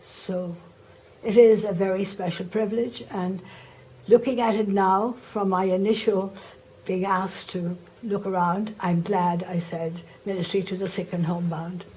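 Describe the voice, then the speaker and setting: At a moderate pace and with fairly even intonation, the speaker talks in an Irish accent amid noticeable background noise and audible room echo. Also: woman, medium pitch for a woman. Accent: Irish, still noticeable. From Ireland. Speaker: religious sister, former teacher. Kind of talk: oral history interview.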